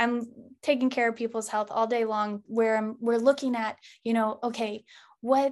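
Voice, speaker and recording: A woman's unremarkable speaking voice, fairly high-pitched, at a fairly quick pace. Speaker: naturopathic doctor and yoga instructor. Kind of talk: interview conversation.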